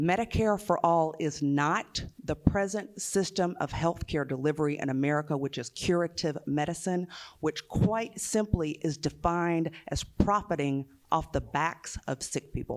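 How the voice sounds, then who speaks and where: In a Southern US accent, a woman speaks at a fairly low pitch with ordinary pitch variation on a very clean recording with a silent background. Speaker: nurse and union activist. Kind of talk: panel talk. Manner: slow; hesitant fillers.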